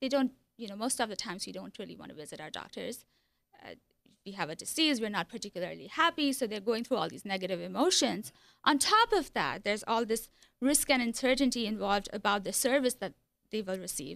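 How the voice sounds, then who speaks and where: Very fast and fairly high-pitched, a woman talks with vocal fry. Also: lively intonation. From India. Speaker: hospitality professor. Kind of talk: radio interview. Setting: studio.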